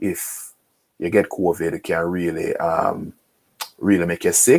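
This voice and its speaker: This is a man talking. His pitch is very deep and low. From Jamaica. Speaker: lawyer. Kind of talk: online workshop presentation.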